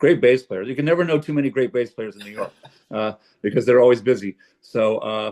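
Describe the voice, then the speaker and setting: A man's unremarkable speaking voice at a medium pitch, fairly quick, with ordinary pitch variation and big swings in loudness. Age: 60s. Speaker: jazz pianist. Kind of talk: casual chat. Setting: video call.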